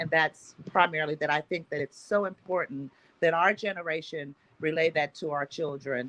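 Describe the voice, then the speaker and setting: At a moderate speed, a woman talks with a very deep, low pitch. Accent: Oklahoma. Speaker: agricultural organization founder. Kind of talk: panel discussion.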